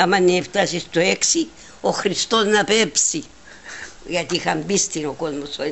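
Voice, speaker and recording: Vocal fry marks this woman's voice as she speaks at a fairly slow pace in a Cypriot accent, with ordinary pitch variation. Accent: Cypriot Greek dialect. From Cyprus, Palaichori village. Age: 90s. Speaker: elderly interviewee. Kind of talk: oral history interview. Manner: halting, repetitive.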